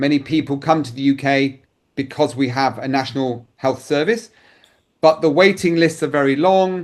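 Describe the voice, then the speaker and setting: A man with a British accent speaks at a moderate pace in a fairly high pitch, with ordinary pitch variation against a quiet background. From United Kingdom. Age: 60s. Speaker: insurance advisor. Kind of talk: interview answer.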